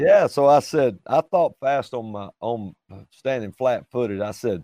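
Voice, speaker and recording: Dry and close with no echo, this man's voice has a dark, mellow tone at a medium pitch. He speaks at a fairly slow pace with ordinary pitch variation. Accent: Southern US. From Alabama, US South. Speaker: traveling ministry singer. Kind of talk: casual chat.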